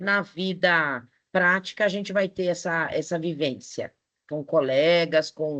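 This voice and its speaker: Against a quiet background, a woman with a bright, sharp tone and ordinary pitch variation speaks at a very slow pace. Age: 60s. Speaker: teacher. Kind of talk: online lecture. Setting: online live class.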